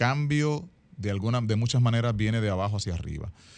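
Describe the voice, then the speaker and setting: Against a quiet background, a man talks very fast. His medium-pitched voice has lively intonation. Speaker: actor and guest co-host. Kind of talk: radio talk show chat.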